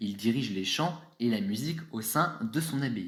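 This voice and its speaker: A man's fairly high, somewhat breathy voice with very wide pitch swings and audible room echo. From France. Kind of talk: scripted presentation.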